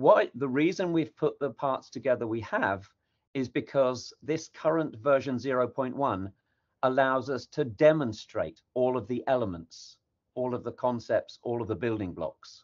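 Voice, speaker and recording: Moving at a moderate speed, a man with an unremarkable speaking voice talks at a medium pitch and varies it in an ordinary way. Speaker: technical project lead presenting. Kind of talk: workshop presentation.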